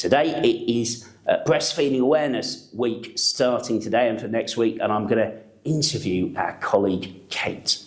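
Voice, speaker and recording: Hardly pausing, a man speaks at a moderate pace and medium pitch with ordinary pitch variation. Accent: English. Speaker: NHS trust executive. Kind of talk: staff video update and interview.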